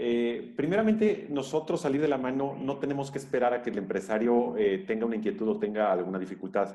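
The tone is dark and mellow, with very wide swings in pitch. The pace runs fairly quick. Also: man. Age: 40s. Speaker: labor lawyer and university professor. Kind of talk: interview.

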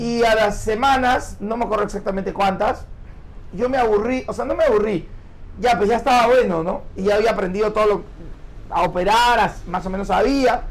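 A man speaks at a moderate pace in a high voice with a Peruvian accent. His pitch rises and falls in an ordinary way. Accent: Peruvian Spanish (Lima). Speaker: radio host and magician. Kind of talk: casual interview chat.

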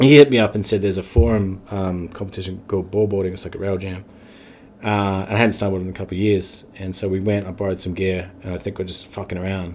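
A man with a New Zealand accent, very deep and low in pitch, at a very fast pace with monotone, flat intonation and big swings in loudness. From New Zealand (Wellington). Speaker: bar owner and former pro snowboarder. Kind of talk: casual chat.

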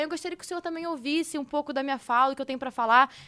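In a raised, projected voice with a bright, sharp tone, a woman talks at a very fast pace with ordinary pitch variation on a very clean recording with a silent background. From Brazil, Rio de Janeiro. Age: 20s. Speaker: esports team owner. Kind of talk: casual chat.

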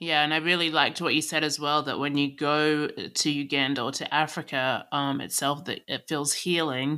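With hardly any pauses, a woman speaks in a very deep, low pitch, her bright, sharp tone held to a monotone, flat intonation on a very clean recording with a silent background. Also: moderate pace. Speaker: podcast co-host. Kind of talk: casual chat.

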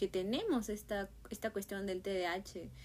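Fairly even in intonation, a woman speaks at a medium pitch. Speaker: podcast host. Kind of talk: casual monologue.

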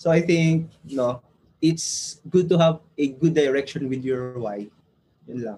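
A man speaks at a fairly slow pace with a fairly high pitch. His tone is dark and mellow, and somewhat breathy. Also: ordinary pitch variation. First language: Filipino. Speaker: entrepreneur, former IT engineer. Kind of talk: casual chat, testimony.

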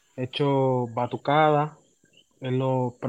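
Against a quiet background, a man's voice comes across with a dry, close sound and no echo. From Puerto Rico, Humacao. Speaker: music education student and trumpeter. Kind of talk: casual interview.

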